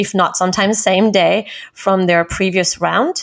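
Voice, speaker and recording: A woman with a French accent speaks at a moderate pace, medium pitch and fairly even intonation. The recording is very clean with a silent background. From France, Paris. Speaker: recruiting director. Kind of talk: interview.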